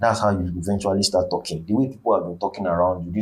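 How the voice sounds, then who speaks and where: A man with an African accent talks at a very fast pace. His voice is fairly low in pitch and somewhat breathy. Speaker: vlogger. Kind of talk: motivational monologue. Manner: halting.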